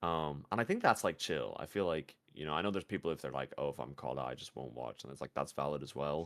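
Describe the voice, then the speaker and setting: A man's very deep, low voice with vocal fry, ordinary pitch variation, a very fast pace and hardly any pauses. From Ireland. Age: 20s. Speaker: video game streamer. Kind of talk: casual chat. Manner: animated.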